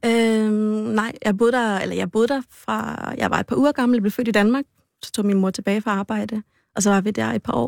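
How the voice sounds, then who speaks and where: A fairly high-pitched woman's voice at a moderate pace with fairly even intonation, dry and close with no echo, in a very clean recording over a silent background. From Aarhus, Denmark. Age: 30s. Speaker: law student. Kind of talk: casual chat.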